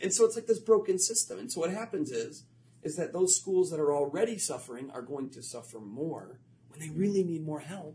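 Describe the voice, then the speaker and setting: A man with an American accent, a dark, mellow tone, very wide pitch swings, big swings in loudness, and a fairly quick pace. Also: fairly high pitch for a man. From Florida. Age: 30s. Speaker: educator and author. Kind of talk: interview.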